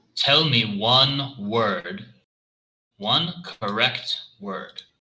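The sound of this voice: Putting on a character voice, a man speaks at a very slow pace with a medium pitch.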